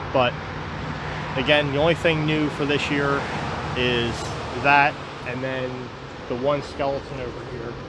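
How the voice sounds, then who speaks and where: Recorded dry with no echo and noticeable background noise, a man speaks with ordinary pitch variation. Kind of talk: casual vlog chat. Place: garden. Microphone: phone near.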